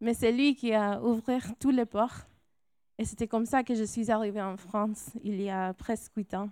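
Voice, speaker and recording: Recorded very cleanly with a silent background and a dry, close sound with no echo, a woman speaks at a fairly slow pace with fairly even intonation. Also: fairly high pitch for a woman. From California, Mexican-Salvadoran family. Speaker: missionary. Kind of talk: testimony. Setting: church.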